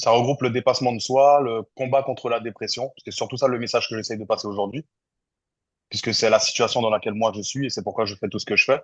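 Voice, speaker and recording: Speaking very fast, the man keeps a medium pitch and a fairly even intonation. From French Guiana. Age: 30s. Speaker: content creator. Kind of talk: podcast interview. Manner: hesitant, many fillers.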